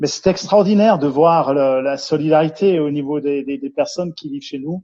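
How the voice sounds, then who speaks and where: In a Jura accent, a man with a fairly high pitch speaks at a moderate pace with fairly even intonation. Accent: Swiss French (Jura). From Switzerland, Jura region. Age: 50s. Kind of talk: interview. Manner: hesitant, many fillers and repetitions.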